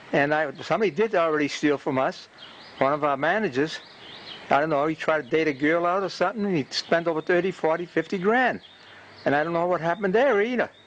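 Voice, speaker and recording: With a Boston accent, a man speaks at a high pitch. His pace is very fast. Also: ordinary pitch variation. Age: 80s+. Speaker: community TV videographer. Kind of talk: casual monologue to camera. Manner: halting.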